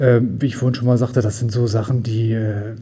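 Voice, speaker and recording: A man speaks at a moderate pace. His voice is somewhat breathy, with a dark, mellow tone. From Düsseldorf area, western Germany. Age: 50s. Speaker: volunteer fire brigade chief. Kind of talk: interview.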